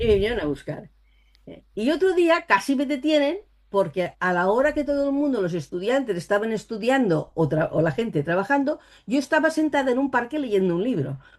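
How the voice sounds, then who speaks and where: A woman's high voice with very wide pitch swings, at a fairly quick pace against a quiet background. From Spain, Catalonia (Barcelona). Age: 60s. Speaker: psychic and author. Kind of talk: interview.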